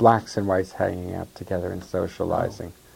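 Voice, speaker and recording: A man speaks with a fairly low pitch. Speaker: activist interviewee recounting life history. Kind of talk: interview recollection, conversational.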